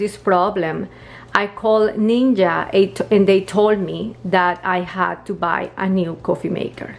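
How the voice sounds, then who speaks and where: A woman with a non-native accent at a fairly slow pace. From Colombia. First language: Spanish. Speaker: home appliance video maker. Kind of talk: tutorial. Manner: casual, slightly halting.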